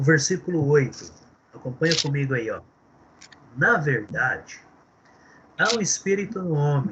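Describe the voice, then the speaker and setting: Using lively intonation and a fairly high pitch, a man talks fairly slowly with long, frequent pauses. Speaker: theology teacher. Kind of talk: lecture.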